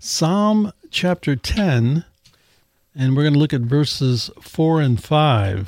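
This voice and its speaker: The sound is dry and close with no echo as a man with a fairly high pitch and lively intonation talks in an ordinary speaking voice. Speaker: podcast host. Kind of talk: panel discussion on Bible topics.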